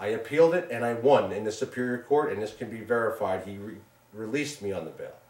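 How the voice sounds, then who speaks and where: A man talks at a fairly quick pace in a medium pitch. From Long Island, New York. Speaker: businessman and show co-producer. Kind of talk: interview testimony. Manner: loud; animated.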